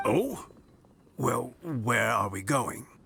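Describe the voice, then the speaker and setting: Putting on a character voice, a man speaks in a warm tone at a medium pitch. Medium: video game. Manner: warm, chuckling.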